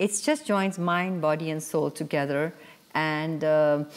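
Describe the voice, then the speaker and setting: This woman's voice is very deep and low in pitch, moving at a fairly slow pace. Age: 60s. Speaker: yoga teacher and author. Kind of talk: TV interview. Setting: TV studio.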